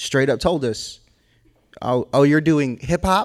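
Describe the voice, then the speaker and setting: In a very clean recording with a silent background, a man with an American accent uses an ordinary speaking voice at medium pitch and moderate pace, with ordinary pitch variation. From Boston. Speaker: hip hop artist. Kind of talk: panel discussion.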